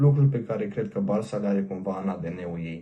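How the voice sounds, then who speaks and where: A man's dark, mellow voice sits fairly low in pitch, with ordinary pitch variation. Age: 20s. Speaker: fan page admin. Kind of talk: scripted self-introduction.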